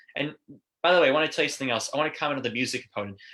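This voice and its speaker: Speaking at a very fast pace, a man has a bright, sharp tone and fairly even intonation. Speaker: marketing company presenter. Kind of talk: webinar presentation. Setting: video call. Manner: filler-heavy, um and uh.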